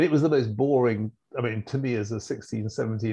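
A man speaks at a moderate pace with a medium pitch. The background is quiet. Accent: British. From England. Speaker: fund manager. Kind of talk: casual chat.

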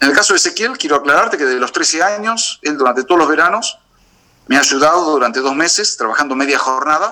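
In an Argentine accent, a man with a fairly high pitch talks at a very fast pace, his loudness very even and his intonation lively. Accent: Argentine Spanish (rioplatense voseo). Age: 50s. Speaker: beekeeper. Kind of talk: interview. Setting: video call. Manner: halting, with repetitions and fillers.

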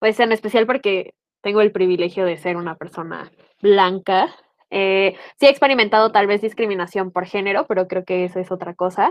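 At a moderate pace, a woman talks at a medium pitch with ordinary pitch variation in a plain, everyday voice. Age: 20s. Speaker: history teacher. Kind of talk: panel discussion.

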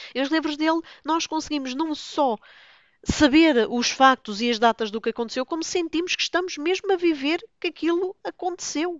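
This woman's high-pitched voice moves at a moderate pace with lively intonation. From Lisbon, Portugal. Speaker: book blogger, podcaster. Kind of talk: casual solo monologue.

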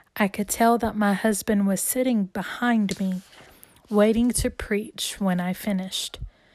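A woman speaks at medium pitch and a fairly slow pace, somewhat breathy with a warm tone and fairly even intonation. The recording is very clean, with a silent background. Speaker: author and podcaster reading her own book. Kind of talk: reading aloud. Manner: warm, earnest, religious.

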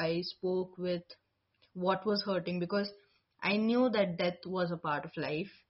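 A woman speaks at a fairly slow pace in a medium pitch, her voice somewhat breathy. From India. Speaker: spiritual life coach. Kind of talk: interview conversation. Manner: hesitant, many fillers.

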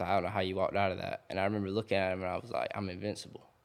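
In a Georgia accent, a man with a fairly low pitch talks at a very fast pace. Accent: Southern US, Georgia. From US South, south Georgia (Thomasville area). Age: 20s. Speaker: outdoors social media influencer. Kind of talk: casual chat. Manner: animated.

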